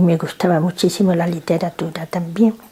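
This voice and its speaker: Over noticeable background noise, a woman talks at a medium pitch and a fairly slow pace with fairly even intonation. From Spanish North Africa (Nador, Morocco). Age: 70s. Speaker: grandmother interviewed by grandchild. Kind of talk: family interview. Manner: halting.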